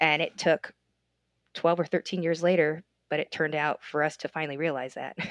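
Speaking with an American accent, a woman talks at a fairly quick pace in a very deep, low voice with monotone, flat intonation. The sound is dry and close, with no echo. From United States. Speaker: comedian and travel agent. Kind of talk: casual chat.

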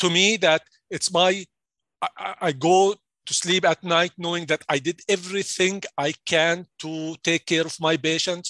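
A man with an Arabic accent talks at a fairly slow pace in a high voice for a man, with a bright, sharp tone. His delivery is flat and monotone, and the sound is dry and close with no echo. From Jordan. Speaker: pharmacy executive. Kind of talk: interview. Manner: halting.

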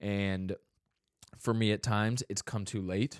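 Recorded very cleanly against a silent background, a man with an ordinary speaking voice talks in fairly even intonation, the sound dry and close with no echo. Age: 20s. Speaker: podcast host. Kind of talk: casual podcast chat.

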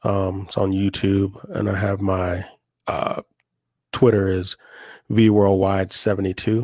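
An American accent with monotone, flat intonation and long, frequent pauses, in a very clean recording with a silent background. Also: man, fairly low pitch for a man, fairly slow pace. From Oklahoma. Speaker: podcast co-host. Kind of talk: casual chat.

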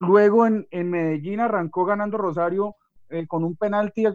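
A man speaks in a high pitch at a moderate pace. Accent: Valle del Cauca Colombian. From Colombia, Valle del Cauca. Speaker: adjunct lecturer. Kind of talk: radio talk show.

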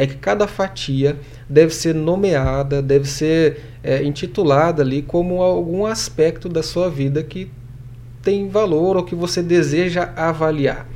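A man speaks fairly slowly at a fairly high pitch, with ordinary pitch variation, over noticeable background noise. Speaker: professor and administrator. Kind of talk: casual interview chat.

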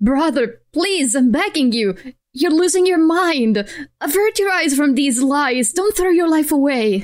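A woman puts on a shaky character voice, high in pitch and moving at a moderate pace. Her pitch swings very widely while her loudness stays very even. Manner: pleading, trembling.

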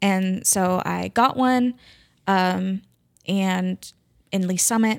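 A woman speaks with a Midwestern US accent at a medium pitch and fairly even intonation. The recording is very clean, silent in the background, dry and close with no echo. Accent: US Midwest. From Kansas City area, Missouri. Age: 30s. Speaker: math teacher. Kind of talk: casual chat.

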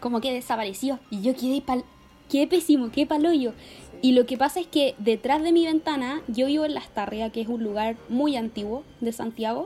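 A woman with a Chilean accent and a high pitch speaks at a moderate pace with ordinary pitch variation and big swings in loudness, over noticeable background noise. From Chile, Talca. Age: 20s. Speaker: journalism student. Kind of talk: casual chat.

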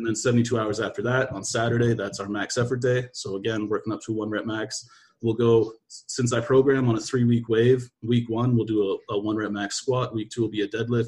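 A man speaks at a fairly quick pace with hardly any pauses, at a medium pitch. His intonation is monotone and flat, and his voice is somewhat breathy. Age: 20s. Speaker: athletic strength coach. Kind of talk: casual chat. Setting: video call.

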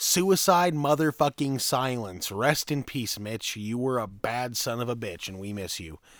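With hardly any pauses and big swings in loudness, a man with an ordinary speaking voice and medium pitch talks at a fairly slow pace in a very clean recording with a silent background. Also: lively intonation. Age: 20s. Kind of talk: casual chat. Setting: garage.

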